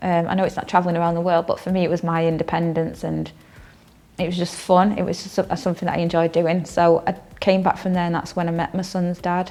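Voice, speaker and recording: A woman with a Manchester accent talks at a very fast pace in a fairly low pitch, her intonation monotone and flat. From northern England, Stockport (Reddish), Greater Manchester. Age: 30s. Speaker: counselling student. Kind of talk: personal testimony interview. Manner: hesitant, many fillers.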